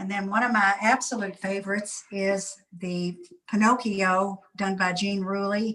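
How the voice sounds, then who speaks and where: In an American accent, a woman speaks fairly slowly with monotone, flat intonation. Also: medium pitch for a woman. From Kentucky, US. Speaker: museum curator and collector. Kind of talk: guided tour. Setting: video call.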